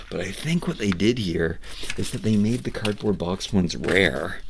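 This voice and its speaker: Medium-speed speech from a man with a fairly low voice, background noise clearly present. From Canada, Nova Scotia Atlantic coast. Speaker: toy reviewer and miniature collector. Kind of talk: unboxing review, casual monologue. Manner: halting, with frequent repetitions and fillers.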